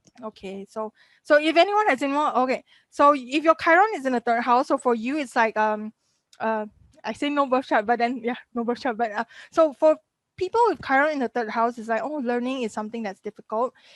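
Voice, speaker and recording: Against a quiet background, a woman talks at a fairly quick pace with high pitch and lively intonation, in a dry, close sound with no echo. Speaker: astrology teacher. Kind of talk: live webinar lecture. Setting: live video stream with chat. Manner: fast.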